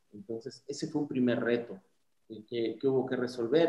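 A normal speaking voice, its intonation fairly even throughout. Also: man. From Mixteca region, Oaxaca, southern Mexico. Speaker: dental clinic founder and CEO. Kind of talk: interview.

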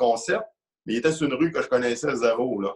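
This man speaks very fast in a Quebec accent. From Quebec, Lac-Mégantic. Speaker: amateur powerlifter. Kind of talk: casual interview.

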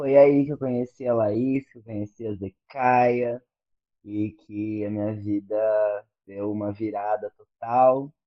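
Very slow and with fairly even intonation, a man speaks at a medium pitch, his loudness swinging widely. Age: 30s. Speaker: teacher and doctoral student. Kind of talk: casual chat.

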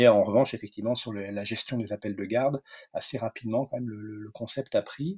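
A man talks fairly quickly at a medium pitch, somewhat breathy. The sound is dry and close, with no echo. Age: 40s. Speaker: veterinarian and entrepreneur. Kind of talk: interview. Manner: hesitant, many fillers and repetitions.

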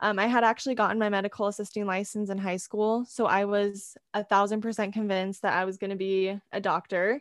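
Fairly quick, monotone speech with flat intonation comes in a West Coast US accent, recorded very clean with a silent background and a dry, close sound with no echo. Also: woman, medium pitch for a woman. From California. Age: 20s. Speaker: photographer and college student. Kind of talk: interview.

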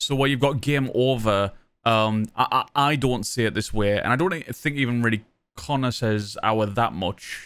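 In a Sunderland accent, a man speaks at a moderate pace and medium pitch with ordinary pitch variation, on a very clean recording with a silent background. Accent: Mackem (Sunderland) northern English. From Sunderland, northern England. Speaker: podcast host and full-time Twitch streamer. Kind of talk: casual chat. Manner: informal, rambling, joking.

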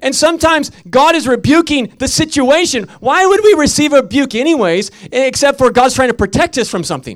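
An extremely high-pitched man talks at a fairly quick pace, his tone animated and his intonation lively. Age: 40s. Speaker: preacher. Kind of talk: sermon.

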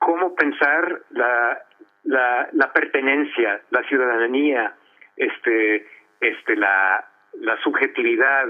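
A man talks at a very slow pace, keeping his loudness very even. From Los Angeles, US, of Colombian parents. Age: 50s. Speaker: author and art history professor. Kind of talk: radio interview. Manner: halting, frequent word repetitions.

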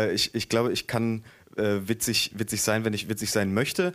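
With an eastern German accent, a man talks at a moderate pace and medium pitch on a very clean recording with a silent background. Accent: very faint eastern German dialect. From eastern Germany, Dessau (Saxony-Anhalt). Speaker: author. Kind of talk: reading aloud.

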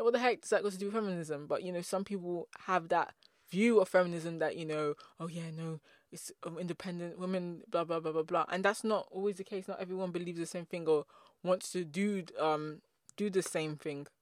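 With an English accent, a woman talks at a fairly quick pace in a fairly low pitch, her loudness swinging widely, in a very clean recording with a silent background. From England. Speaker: podcast host. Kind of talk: casual monologue. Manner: fast talker; animated.

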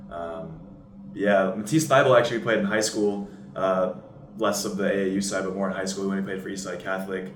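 A man's fairly low voice at a fairly quick pace, with ordinary pitch variation and audible room echo. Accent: American. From US Pacific Northwest, Seattle. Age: 20s. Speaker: college basketball player. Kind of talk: casual interview.

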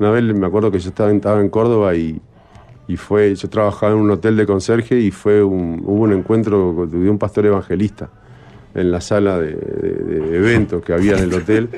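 In a normal speaking voice, a man at fairly low pitch talks at a fairly quick pace with fairly even intonation. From Uruguay, Cerro of Montevideo. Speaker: film director. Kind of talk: casual interview chat.

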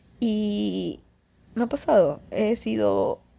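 Vocal fry and a dark, mellow tone from a woman, with ordinary pitch variation

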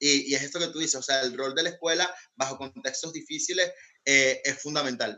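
Using an ordinary speaking voice, a man talks at a fairly quick pace with fairly high pitch and ordinary pitch variation. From Venezuela. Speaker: guest from Venezuela. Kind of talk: casual panel discussion.

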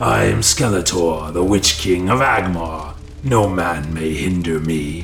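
A man puts on a low, raspy character voice with vocal fry and a fairly bright tone, speaking slowly. Faint music plays in the background. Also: ordinary pitch variation.

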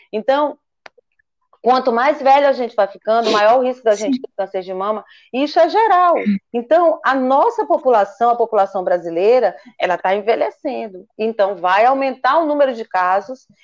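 The woman's high-pitched voice carries lively intonation. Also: moderate pace. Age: 50s. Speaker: physician. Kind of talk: interview.

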